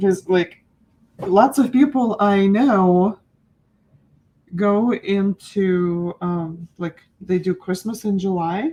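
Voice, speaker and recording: Very slowly and with long, frequent pauses, a woman speaks in a dark, mellow tone with ordinary pitch variation. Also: medium pitch for a woman. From Ukraine. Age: 40s. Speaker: art teacher. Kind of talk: live-stream painting class. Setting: live stream. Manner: animated.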